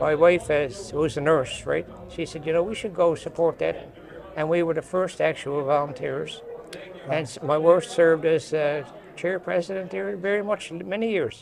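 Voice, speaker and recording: Noticeable background noise accompanies a man with a Newfoundland accent. He talks at a moderate pace, fairly high in pitch, with ordinary pitch variation. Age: 80s+. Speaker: construction industry veteran. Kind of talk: interview.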